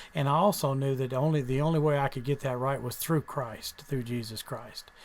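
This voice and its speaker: A man with an American accent, a fairly high pitch for a man, fairly even intonation and a fairly quick pace. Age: 60s. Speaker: author and preacher. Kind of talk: radio interview, testimony. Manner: halting, many fillers.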